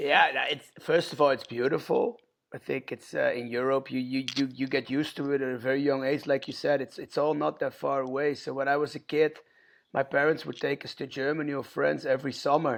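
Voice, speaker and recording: Monotone, flat intonation marks a man speaking fairly quickly at a fairly high pitch with a Dutch accent. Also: quiet background. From Netherlands, near Rotterdam. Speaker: punk band vocalist and record label owner. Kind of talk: podcast interview.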